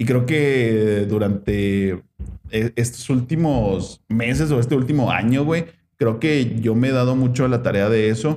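Loudness stays very even as a man speaks with a dark, mellow tone and ordinary pitch variation. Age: 20s. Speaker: podcast host. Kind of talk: casual chat.

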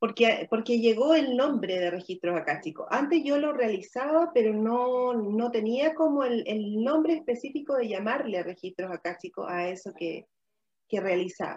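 Speaking at a moderate pace, a woman uses a fairly high pitch. Her pitch swings very widely. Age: 40s. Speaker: women's wellness and ritual facilitator. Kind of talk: live-streamed conversational talk. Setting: live video stream.

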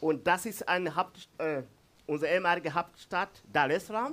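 At a moderate pace, a man with an East African accent speaks with lively intonation. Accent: Swahili-accented German. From Tanzania. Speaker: pastor. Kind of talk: sermon. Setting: church. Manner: halting.

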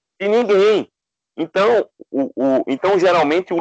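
High-pitched for a man, he speaks at a fairly slow pace in a dry, close sound with no echo. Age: 40s. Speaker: journalist and author. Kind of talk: casual chat. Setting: remote call. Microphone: unstable connection.

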